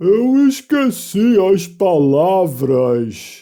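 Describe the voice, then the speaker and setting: A man's high, put-on character voice at a very slow pace, full of very wide pitch swings. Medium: read story. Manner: brisk, exclamatory.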